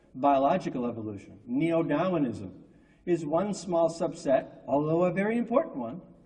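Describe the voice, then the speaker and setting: A man's high voice with lively intonation at a moderate pace, amid noticeable background noise and audible room echo. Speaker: scientist, conference speaker. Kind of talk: conference lecture.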